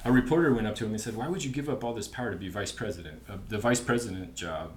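A man talking at a very fast pace with hardly any pauses, amid noticeable background noise. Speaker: guest explaining history. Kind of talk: casual chat.

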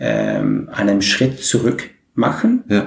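A man speaks at medium pitch with a Dutch accent. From Netherlands, Maastricht. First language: Dutch (speaking German). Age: 40s. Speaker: community organizer. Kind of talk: interview. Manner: halting.

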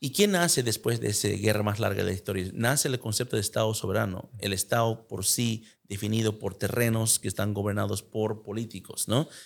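A man speaks in an ordinary speaking voice, fairly low in pitch and fairly quick, with hardly any pauses. His intonation is fairly even, on a very clean recording with a silent background. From United States. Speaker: podcast host. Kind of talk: interview.

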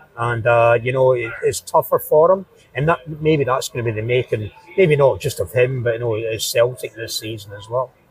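A man with a Glaswegian accent at medium pitch and moderate pace, ordinary pitch variation, dry, close sound with no echo, and noticeable background noise. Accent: Glaswegian Scottish. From Scotland (southeast of Glasgow). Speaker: football fan. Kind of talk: interview. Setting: pub.

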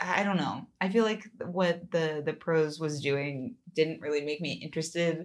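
At a moderate pace, a woman talks in an unremarkable speaking voice, her pitch fairly low and her pitch variation ordinary. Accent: American. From California. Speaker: podcast co-host. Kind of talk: casual chat.

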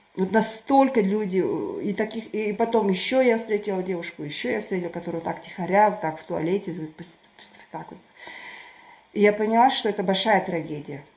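Against noticeable background noise, a woman with a medium pitch and ordinary pitch variation talks at a moderate pace, taking long, frequent pauses, her loudness swinging widely. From southern Kazakhstan, Turkestan. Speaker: writer and volunteer. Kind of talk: casual chat. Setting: online call.

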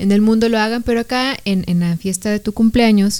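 A woman's voice with a dark, mellow tone. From Mexico, outside Jalisco. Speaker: podcast co-host. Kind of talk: casual chat.

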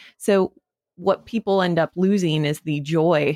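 A woman with an American accent talks in a plain, everyday voice, fairly low-pitched and at a fairly slow pace. The recording is very clean with a silent background, the sound dry and close with no echo. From Wyoming, US. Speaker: podcast company founder. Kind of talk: interview conversation.

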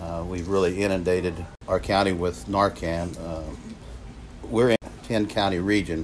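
A man speaks with an Appalachian accent at a moderate pace. His pitch is very deep and low, with ordinary pitch variation. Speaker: prevention coalition coordinator. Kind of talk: personal testimony.

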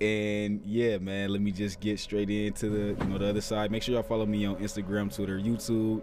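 A man speaks fairly quickly at a fairly low pitch, with noticeable background noise. His intonation is monotone and flat, and his loudness very even. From Toledo, Ohio. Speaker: podcast host. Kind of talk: casual chat, podcast interview. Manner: casual, conversational.

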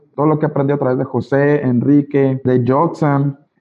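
An unremarkable speaking voice talks at a moderate pace. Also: man. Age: 20s. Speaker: network marketing leader. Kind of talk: motivational training talk. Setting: video call.

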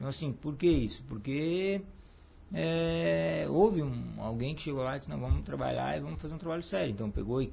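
Speaking fairly quickly, a man lets his pitch swing very widely. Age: 40s. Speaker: cycling coach and former athlete. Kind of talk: casual interview. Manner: halting, many repetitions.

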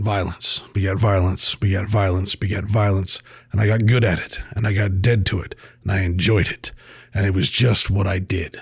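This man's voice is somewhat breathy and fairly low in pitch. He talks at a moderate pace. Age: 40s. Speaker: podcast host. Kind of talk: casual monologue.

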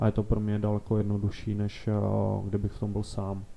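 In a monotone, flat intonation, a man talks with a fairly low pitch and a dark, mellow tone. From Moravia, Beskydy (Rožnov pod Radhoštěm). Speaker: bank investment manager. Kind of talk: interview.

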